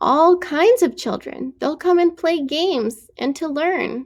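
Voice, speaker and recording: A woman puts on a character voice at an extremely high pitch, with a gentle tone. Her intonation is lively and her pace fairly slow. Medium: read story. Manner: gentle, reassuring.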